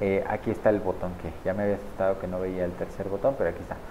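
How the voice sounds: A man's low-pitched voice at a very fast pace, with little pitch movement.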